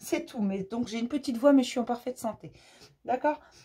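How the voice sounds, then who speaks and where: A woman's high-pitched voice, warm in tone yet dark and mellow, with lively intonation and a fairly quick pace. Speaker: spiritual channel host giving daily messages. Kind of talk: daily inspirational message to viewers. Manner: warm, affectionate.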